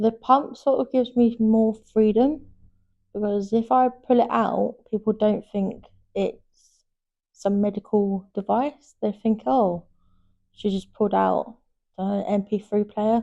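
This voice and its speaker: A woman with a London accent, fairly high pitch, dark, mellow tone, ordinary pitch variation, and a very slow pace. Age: 20s. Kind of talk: interview testimony. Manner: halting, repetitive phrasing.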